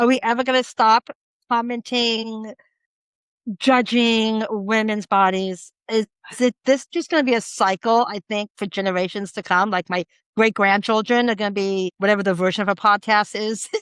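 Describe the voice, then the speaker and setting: In a quiet background with a dry, close sound and no echo, a woman with an unremarkable speaking voice talks at a moderate pace, fairly high in pitch and with fairly even intonation. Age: 60s. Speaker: podcast co-host. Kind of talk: casual chat.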